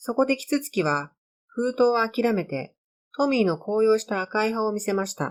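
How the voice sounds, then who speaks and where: Speaking at a moderate pace in an ordinary speaking voice, a woman with a fairly high pitch uses lively intonation and big swings in loudness, captured in a very clean recording with a silent background. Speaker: amateur storyteller reading own stories. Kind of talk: narration.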